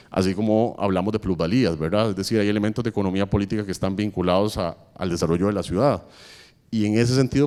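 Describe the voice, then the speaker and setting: A man's fairly low, dark, mellow voice at a very fast pace. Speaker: architect and urban policy official on a panel. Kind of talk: panel talk. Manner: hesitant fillers (eh, digamos).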